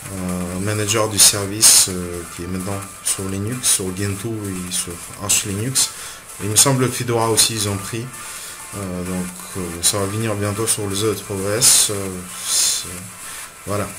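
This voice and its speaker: Music plays in the background as a man with a Russian accent speaks fairly slowly at a fairly low pitch, with long, frequent pauses. His intonation is monotone and flat, and room echo is audible. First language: Russian (speaking French). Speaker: student making tech tutorials. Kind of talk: tutorial. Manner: halting, many hesitations.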